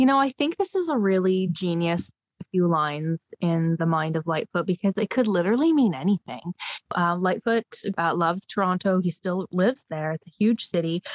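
This woman talks at a fairly quick pace in a Canadian accent. Her medium-pitched voice has lively intonation. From Canada, northern Ontario (Sudbury). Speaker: podcast guest, fan. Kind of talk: casual chat.

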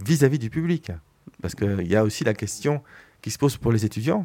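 A man with a dark, mellow tone talks at a very fast pace on a very clean recording with a silent background. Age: 50s. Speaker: film director. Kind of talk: radio interview. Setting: radio studio. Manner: hesitant, many fillers.

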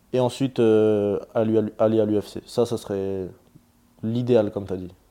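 Fairly even intonation marks this man's dark, mellow tone. The background is quiet. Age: 20s. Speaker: MMA fighter. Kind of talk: interview.

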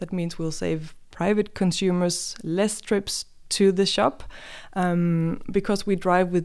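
Woman with a Danish accent at medium pitch, fairly slow pace and ordinary pitch variation, in a very clean recording with a silent background. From Denmark. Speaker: online grocery company representative. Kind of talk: interview podcast. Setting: studio.

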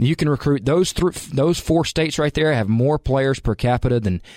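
A man with a Southern US accent at a moderate pace, with a dry, close sound with no echo and a very clean recording over a silent background. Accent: Southern US (Georgia). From US South, Calhoun, Georgia. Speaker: college football coach. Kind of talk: interview.

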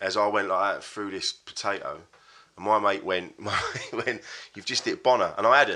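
Speaking at a moderate pace, a man talks in an English accent. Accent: English, self-described. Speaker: comedian. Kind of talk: casual chat.

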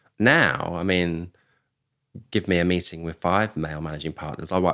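A man with a British accent speaks at a moderate pace in a very deep, low pitch. The recording is very clean, with a silent background. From UK. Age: 50s. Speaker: executive search firm founder. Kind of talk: interview conversation. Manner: halting, frequent repetitions.

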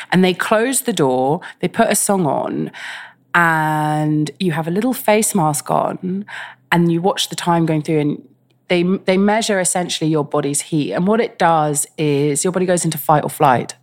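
In a London accent, a woman speaks at a moderate pace with a fairly low pitch and ordinary pitch variation, on a very clean recording with a silent background. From England, West London. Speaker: artist. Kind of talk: interview conversation.

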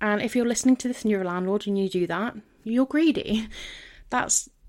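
With a southern English accent, a woman talks at a fairly quick pace with ordinary pitch variation on a very clean recording with a silent background. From London and Devon, England. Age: 30s. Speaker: podcast host. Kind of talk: solo podcast monologue.

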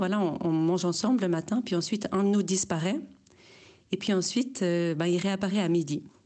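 Against a quiet background, a woman with a dark, mellow tone and fairly low pitch speaks at a fairly quick pace with ordinary pitch variation. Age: 30s. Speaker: listener sending a voice message. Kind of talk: voice message testimony.

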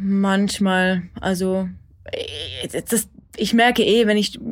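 A woman with a normal speaking voice talks at medium pitch and with fairly even intonation. The recording is very clean, with a silent background. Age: 30s. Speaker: therapy client. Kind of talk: therapy conversation.

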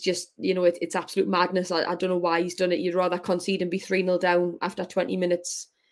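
Very fast speech comes from a woman with a Geordie accent at a fairly low pitch. It's a very clean recording with a silent background. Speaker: professional footballer. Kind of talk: interview.

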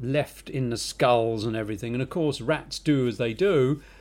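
In a London accent, a man talks at a moderate pace and medium pitch with ordinary pitch variation. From England, North London. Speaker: podcast co-host, film industry worker. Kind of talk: casual chat.

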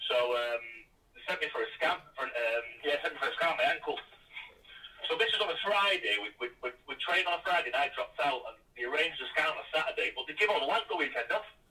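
In a Mancunian accent, a man talks at a very fast pace over noticeable background noise. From northern England, Salford. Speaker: former footballer. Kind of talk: casual interview. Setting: away from home.

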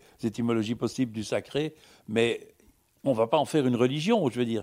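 A man at medium pitch with lively intonation, on a very clean recording with a silent background. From Belgium. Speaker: philosopher and writer. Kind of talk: public panel discussion.

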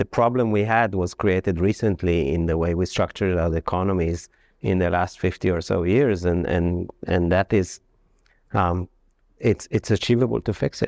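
A man with a non-native accent talks at a moderate pace with a very deep, low pitch and ordinary pitch variation. His loudness stays very even, and the sound is dry and close with no echo against a quiet background. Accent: foreign-accented English. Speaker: economist. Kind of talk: panel discussion. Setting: stage with audience.

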